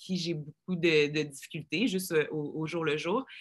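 A woman speaks at a moderate pace with a strong Quebec accent, on a very clean recording with a silent background. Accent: strong joual Quebec French. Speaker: reality show contestant. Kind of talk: casual chat.

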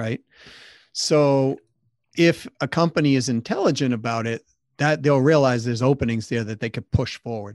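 The speech comes at a moderate pace with long, frequent pauses and ordinary pitch variation, in a dry, close sound with no echo against a quiet background. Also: man, medium pitch for a man. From Massachusetts, US. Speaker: sales consultant, company CEO. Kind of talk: interview.

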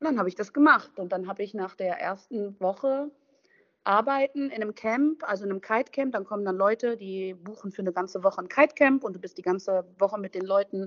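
This is a woman with a normal speaking voice and ordinary pitch variation. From western Germany, Düsseldorf/Duisburg. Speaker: van lifer. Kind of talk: casual chat.

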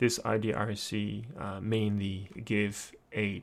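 A man with a Japanese accent on a very clean recording with a silent background. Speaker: lecturer. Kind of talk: lecture. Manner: halting.

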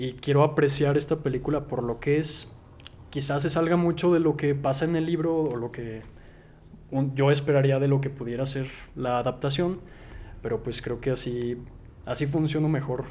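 A man with a dark, mellow tone speaks at a moderate pace and fairly even intonation, leaving long, frequent pauses. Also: fairly high pitch for a man. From Mexico, Zacatecas. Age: 20s. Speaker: writer and film YouTuber. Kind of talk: casual chat.

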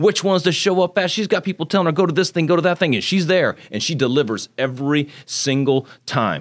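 A man with a high pitch and an animated tone at a fairly quick pace, with ordinary pitch variation, in a very clean recording with a silent background. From Texas (Magnolia, north of Houston), born in Japan. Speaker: congressional candidate. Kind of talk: interview.

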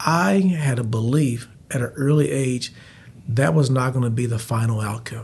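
A man's medium-pitched, somewhat breathy voice with ordinary pitch variation at a moderate pace, plus audible room echo. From Texas, Abilene. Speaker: city mayor. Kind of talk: casual interview.

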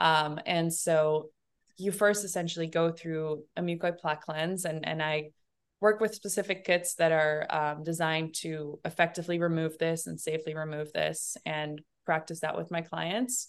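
A woman with an unremarkable speaking voice talks at a moderate pace in a fairly low pitch with fairly even intonation over a quiet background. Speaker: holistic detox coach. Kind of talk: casual interview chat.

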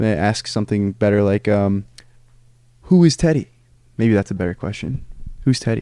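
A man with an American accent talks at a moderate pace in a fairly low pitch, with a dark, mellow tone and ordinary pitch variation. He leaves long, frequent pauses, and the sound is dry and close with no echo. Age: 20s. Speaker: podcast host. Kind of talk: casual chat. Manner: animated.

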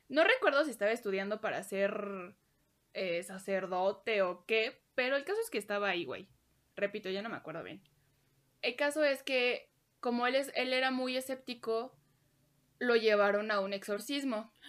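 Spoken in a Mexican accent at a moderate pace with ordinary pitch variation, the clip is a very clean recording with a silent background. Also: woman, fairly high pitch for a woman. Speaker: podcast co-host. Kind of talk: casual storytelling.

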